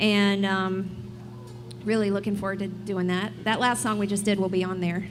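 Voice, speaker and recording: With a Southern US accent, a woman talks at a moderate pace in a medium pitch and a monotone, flat intonation, with audible room echo and music in the background. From South Carolina upstate. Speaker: singer-songwriter. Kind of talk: live radio interview. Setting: live music venue with audience.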